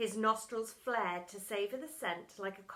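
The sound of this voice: The clip is read aloud. It is an unforced reading voice.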